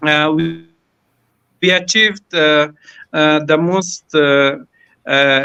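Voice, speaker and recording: At a very slow pace with long, frequent pauses, the speaker talks in a non-native accent. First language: not English. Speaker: school principal. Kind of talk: panel talk. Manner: halting.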